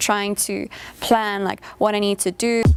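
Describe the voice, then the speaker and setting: The woman's pitch sits at a medium level. Her intonation is flat and monotone. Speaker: international student. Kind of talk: documentary interview.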